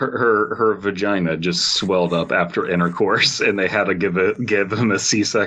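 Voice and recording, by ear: With ordinary variation in pitch, the speaker reads aloud in a natural voice.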